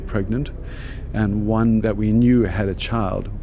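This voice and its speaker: A man's fairly low voice stays monotone and flat, with audible room echo and noticeable background noise. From South Africa. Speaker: photojournalist. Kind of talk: interview. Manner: hesitant, many fillers.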